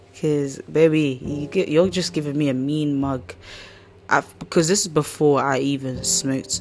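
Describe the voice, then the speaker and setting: Over music in the background, a woman speaks at a very deep, low pitch with lively intonation. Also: moderate pace. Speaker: podcast host. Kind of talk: casual chat. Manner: animated.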